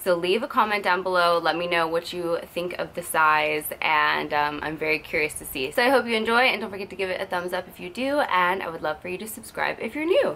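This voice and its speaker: Over light background noise, a woman talks at a fairly quick pace in a bright, sharp tone. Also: lively intonation. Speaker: lifestyle vlogger. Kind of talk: casual vlog chat. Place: home room. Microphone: phone near.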